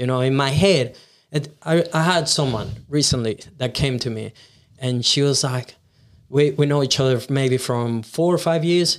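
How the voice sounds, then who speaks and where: Speaking with a Venezuelan accent at a moderate pace, a man uses a fairly high pitch with ordinary pitch variation. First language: Spanish. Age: 20s. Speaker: videographer and content creator. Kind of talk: casual interview chat.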